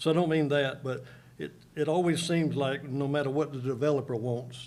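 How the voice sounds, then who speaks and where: With audible room echo, a man of medium pitch talks at a moderate pace and a fairly even intonation. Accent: Southern US. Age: 70s. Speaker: local resident speaking at public hearing. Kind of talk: public comment at county board meeting. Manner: halting.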